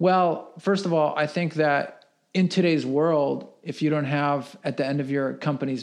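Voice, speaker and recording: Against a quiet background, a man with an unremarkable speaking voice and a fairly high pitch talks at a fairly slow pace with fairly even intonation. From US (moved from Russia at five). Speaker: entrepreneur. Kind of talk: casual interview.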